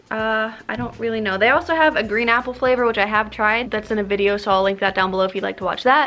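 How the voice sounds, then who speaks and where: A woman speaks at a very fast pace. There is noticeable background noise behind her. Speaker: YouTuber doing product review. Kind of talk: casual product taste test vlog. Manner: somewhat halting, stumbling over words.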